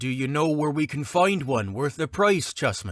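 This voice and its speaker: A man's put-on character voice, fairly high, with lively intonation at a moderate pace, on a very clean recording with a silent background. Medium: read story. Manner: brisk, pragmatic.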